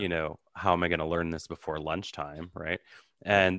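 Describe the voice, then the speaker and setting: A man with a Canadian accent speaks in a very deep, low pitch and monotone, flat intonation, the sound dry and close with no echo over a quiet background. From Canada, Ottawa. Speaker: psychic medium. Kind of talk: interview.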